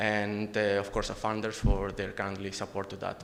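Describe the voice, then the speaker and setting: At a moderate pace, a man talks with a fairly low pitch while audible room echo fills the recording. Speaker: conference presenter, researcher. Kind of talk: conference presentation and Q&A. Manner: halting, many fillers.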